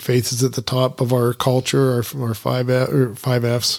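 A man's normal speaking voice, medium in pitch and moderate in pace, on a very clean recording with a silent background. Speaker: podcast host. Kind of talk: interview.

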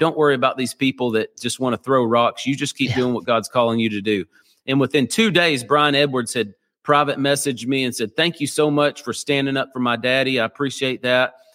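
With an American accent and an unremarkable speaking voice, a man speaks at a fairly quick pace with medium pitch and ordinary pitch variation, in a very clean, dry, close recording with a silent background and no echo. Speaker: pastor. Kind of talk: interview.

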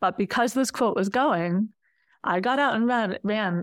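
In a very clean recording with a silent background, a woman with a plain, everyday voice speaks at a fairly high pitch and with ordinary pitch variation. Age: 40s. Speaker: quilter. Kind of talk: casual chat.

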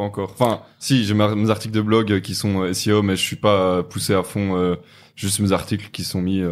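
In a very clean recording with a silent background, a man with a fairly low pitch talks at a moderate pace in a monotone, flat intonation. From Belgium, Namur. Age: 20s. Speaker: e-commerce entrepreneur. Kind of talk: podcast interview. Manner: hesitant, many fillers.

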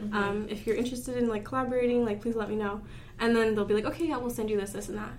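A woman talks very fast in a fairly high voice with fairly even intonation. Audible room echo and noticeable background noise come through the recording. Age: 20s. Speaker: makeup artist. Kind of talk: casual chat.

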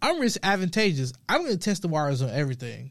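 Recorded very cleanly against a silent background, a man talks at a fairly quick pace with very wide pitch swings. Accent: American. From US South, Memphis, Tennessee. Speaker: finance company founder and podcast host. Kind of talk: monologue business podcast. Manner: halting, repeats words.

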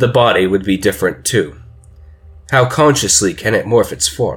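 A man speaks at a medium pitch with lively intonation. His voice is somewhat breathy, at a moderate pace. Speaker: fiction narrator. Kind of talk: dramatic narration, horror story told in first person, building creepy suspense. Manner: conversational and rambling at first, then hushed, urgent and ominous.

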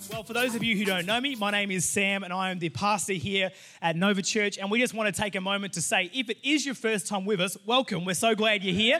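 A man's raised, projected voice with an Australian accent, high in pitch with ordinary pitch variation, at a very fast pace with hardly any pauses. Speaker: pastor. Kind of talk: sermon. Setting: church. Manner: casual, many fillers.

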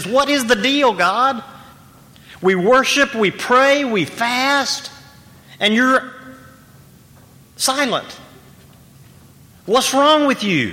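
In a put-on character voice, the speaker whines at a fairly high pitch and a very slow pace, with long, frequent pauses. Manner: pouty, complaining.

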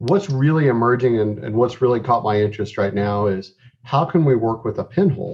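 A man talks fairly quickly in a somewhat breathy voice of medium pitch. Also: lively intonation. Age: 40s. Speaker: eye doctor. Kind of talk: casual interview.

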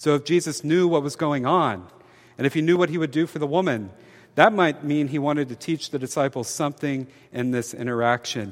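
On a very clean recording with a silent background, a man with a fairly high pitch and ordinary pitch variation speaks in an unremarkable speaking voice. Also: fairly quick pace. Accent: American. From US South, Mobile, Alabama. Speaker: priest. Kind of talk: sermon.

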